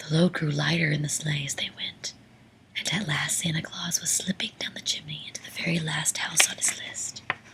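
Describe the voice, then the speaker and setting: Over noticeable background noise comes a whisper delivered at a fairly quick pace. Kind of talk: whispered bedtime story reading. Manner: whispered, soft-spoken.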